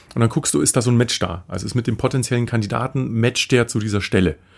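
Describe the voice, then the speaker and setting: In a very clean recording with a silent background, a man speaks very fast at a medium pitch. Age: 40s. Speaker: business founder and podcast co-host. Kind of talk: casual interview chat.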